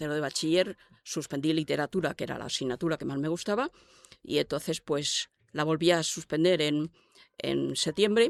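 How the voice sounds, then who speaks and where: The woman's pitch is very deep and low. Her voice sounds dry and close, without echo. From Spain, El Escorial near Madrid. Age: 80s+. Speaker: retired court civil servant and activist. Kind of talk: interview testimony. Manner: hesitant, with fillers and repetitions.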